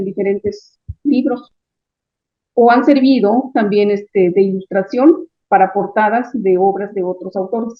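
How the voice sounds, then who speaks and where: A woman talks at a fairly slow pace with ordinary pitch variation. Hers is an unremarkable speaking voice. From Chiapas, Mexico. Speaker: writer, translator and visual artist. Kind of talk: interview answer.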